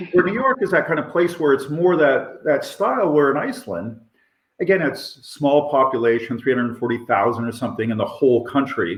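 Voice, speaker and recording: Here is an ordinary speaking voice: a man talking at a fairly quick pace and fairly high pitch. His intonation is lively. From Canada. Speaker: professor. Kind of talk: interview.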